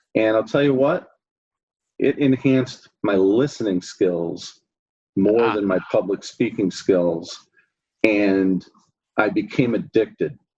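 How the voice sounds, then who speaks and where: This man has an unremarkable speaking voice, fairly low in pitch, delivered at a fairly slow pace with ordinary pitch variation. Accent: American. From US Midwest, Chicago area. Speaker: accounting firm consultant. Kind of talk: interview.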